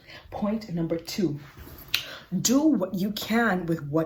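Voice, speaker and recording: A woman speaks at a fairly slow pace with a fairly low pitch. Background noise is noticeable. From Bahamas. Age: 20s. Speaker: podcast host. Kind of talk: casual talk to camera. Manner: upbeat, warm.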